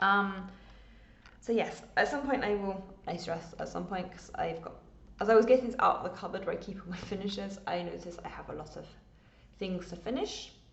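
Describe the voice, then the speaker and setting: A woman speaks at a fairly quick pace, with long, frequent pauses, big swings in loudness, ordinary pitch variation and audible room echo. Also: medium pitch for a woman. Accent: English. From England. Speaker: cross stitch vlogger. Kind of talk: casual chat.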